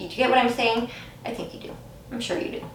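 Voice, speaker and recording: Noticeable background noise and audible room echo around a female voice. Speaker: tarot card reader. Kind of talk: pick-a-card tarot reading to camera. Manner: halting, many fillers and restarts.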